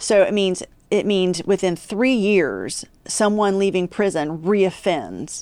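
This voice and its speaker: Speaking at a very slow pace, a woman with a West Virginia accent keeps a medium pitch. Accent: Appalachian West Virginia accent, noticeable. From West Virginia, Appalachia (Huntington). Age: 40s. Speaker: criminal justice policy expert, former prosecutor. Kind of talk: podcast interview.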